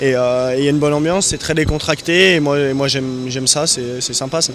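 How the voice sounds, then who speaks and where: A man talks very fast with fairly even intonation, with noticeable background noise and audible room echo. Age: 20s. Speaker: motorcycle racer. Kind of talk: interview. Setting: motorcycle show stand. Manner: halting.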